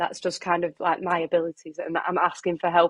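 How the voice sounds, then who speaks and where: A woman talks at a fairly quick pace with a fairly low pitch. The sound is dry and close, with no echo. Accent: Lancashire. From Preston, northern England. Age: 20s. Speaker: runner and health worker. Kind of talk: podcast interview.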